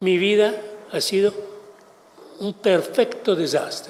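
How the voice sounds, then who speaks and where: A man with an Italian accent, a high pitch and a very slow pace. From Italy. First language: Italian (speaking Spanish). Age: 70s. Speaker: kidnapping victim, translator. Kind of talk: testimony.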